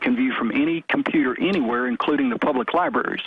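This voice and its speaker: A man speaks with a Southern US accent and ordinary pitch variation. Noticeable background noise can be heard. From US South, Memphis, Tennessee. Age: 50s. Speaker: caller. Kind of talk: radio call-in.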